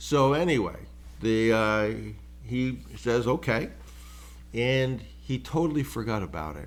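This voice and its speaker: Audible room echo follows a man who speaks fairly slowly, leaving long, frequent pauses. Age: 70s. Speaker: business acquisition mentor, podcast host. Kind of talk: solo podcast monologue. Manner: casual, conversational with fillers.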